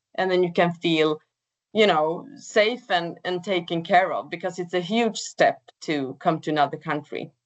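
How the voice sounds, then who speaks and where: Speaking in a Swedish accent, a woman uses a fairly low pitch with ordinary pitch variation at a moderate pace. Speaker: project coordinator. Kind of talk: webinar presentation. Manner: hesitant, with fillers.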